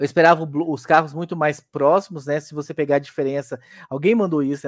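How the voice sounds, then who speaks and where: Against a quiet background, a man with a plain, everyday voice speaks at a fairly high pitch and a fairly quick pace, the sound dry and close with no echo. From Goiás, Brazil. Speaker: motorsport podcaster. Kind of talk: casual interview.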